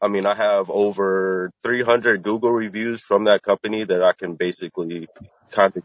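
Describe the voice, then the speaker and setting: A man with an American accent speaks at a moderate pace with fairly even intonation. His is an unremarkable speaking voice. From Washington, D.C. area. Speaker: caller starting a plumbing business. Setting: call with Bluetooth earpiece.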